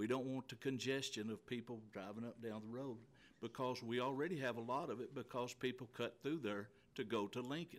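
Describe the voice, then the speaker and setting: A man with an American accent and medium pitch talks at a fairly quick pace with fairly even intonation. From Stillwell, Oklahoma area, then 40 years in Texas. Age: 60s. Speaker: resident speaking at public hearing. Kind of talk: public comment at hearing. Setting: county meeting room. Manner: halting.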